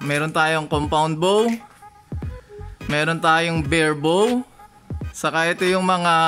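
Faint music plays in the background. A man with a high pitch talks at a very slow pace. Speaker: vlogger. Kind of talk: casual vlog chat. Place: shop. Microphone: phone near.

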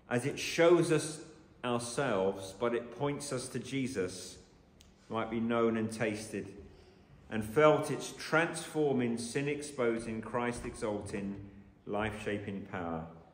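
Room echo is audible as a man speaks. His pace is very slow, with ordinary pitch variation. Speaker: preacher. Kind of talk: sermon. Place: church.

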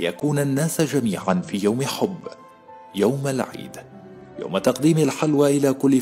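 A man's medium-pitched voice with lively intonation at a very slow pace, with music in the background. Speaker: voice actor. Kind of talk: documentary narration.

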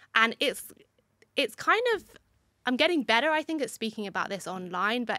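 A woman with a British accent talks at a moderate pace in a bright, sharp tone, the sound dry with no echo over a quiet background. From UK. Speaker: migraine advocate; podcast guest. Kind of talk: casual interview. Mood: calm, reflective. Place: studio. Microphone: studio mic.

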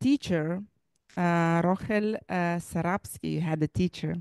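Over a quiet background, a woman speaks at a fairly low pitch in a dry sound with no echo. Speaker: library director and event host; event host. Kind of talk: moderating a memorial event. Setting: live event in a library. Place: hall. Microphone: handheld.

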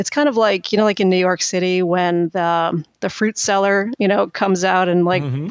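A woman talks at a moderate pace in a normal speaking voice. Her intonation stays fairly even. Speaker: author and content marketing executive. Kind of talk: casual interview chat.

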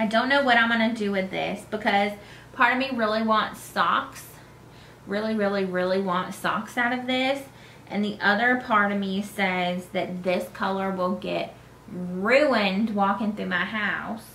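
In an American accent, a woman speaks at a fairly slow pace with fairly even intonation. Room echo is audible over light background noise. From North Carolina. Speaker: knitting podcaster. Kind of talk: casual chat. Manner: hesitant, many fillers.

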